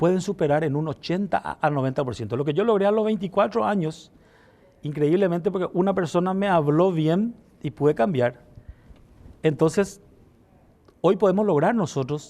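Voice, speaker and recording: A man's high pitch with a dark, mellow tone, lively intonation, a moderate pace and long, frequent pauses. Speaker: politician. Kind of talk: interview. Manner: slight stutter.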